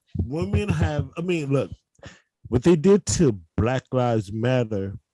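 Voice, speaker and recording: A man speaks in a dark, mellow, somewhat breathy tone with very wide pitch swings. The sound is dry and close, with no echo. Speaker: comedian. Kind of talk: casual chat. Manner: animated.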